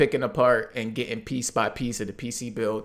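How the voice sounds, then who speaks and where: Here a man speaks in an ordinary speaking voice at a medium pitch and a moderate pace. The recording is very clean, with a silent background. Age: 20s. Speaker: gamer and YouTube content creator. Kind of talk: casual chat.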